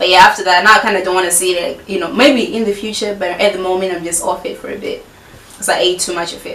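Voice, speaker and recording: A woman talks at a very fast pace with fairly even intonation and big swings in loudness. Noticeable background noise and audible room echo fill the recording. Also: medium pitch for a woman. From Zimbabwe, Harare. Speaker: YouTuber. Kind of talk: casual Q&A vlog. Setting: filming at home with friend present. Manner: chatty, many fillers.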